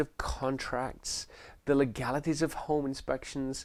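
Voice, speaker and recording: This is a very clean recording with a silent background. A man with an English accent speaks at a moderate pace. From England. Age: 50s. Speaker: sales trainer and realtor. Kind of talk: promotional course introduction.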